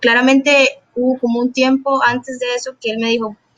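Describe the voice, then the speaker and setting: An ordinary speaking voice from a woman, fairly high in pitch, at a moderate pace. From Costa Rica. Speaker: junior programmer. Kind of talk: interview.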